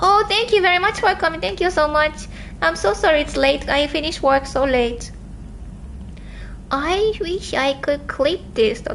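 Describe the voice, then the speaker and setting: With noticeable background noise, a woman speaks at a moderate pace in a high pitch, her voice swinging very widely and broken by long, frequent pauses. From southern Japan. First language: Japanese. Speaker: livestreamer. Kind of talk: livestream chat.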